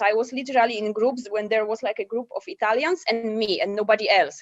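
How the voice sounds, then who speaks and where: With a Polish accent, a woman talks at a fairly quick pace with ordinary pitch variation. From Poland. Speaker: digital nomad. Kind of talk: podcast interview.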